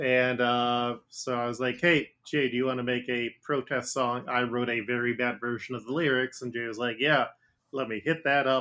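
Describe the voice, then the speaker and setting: Monotone, flat intonation at a moderate pace. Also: man, medium pitch for a man. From Ohio, Cincinnati area. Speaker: podcast host and game master. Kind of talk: casual chat.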